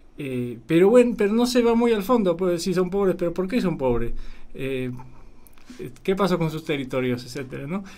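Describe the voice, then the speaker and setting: A man's dark, mellow tone at a high pitch, with very wide pitch swings and a moderate pace. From Poland. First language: Polish (speaking Spanish). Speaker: documentary filmmaker. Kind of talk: radio interview. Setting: radio studio.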